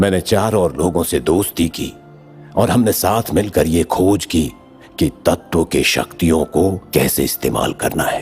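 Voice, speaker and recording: Over clear background music, a man does a put-on character voice with a very deep, low pitch. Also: moderate pace. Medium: fan dub. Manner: calm, cryptic, solemn.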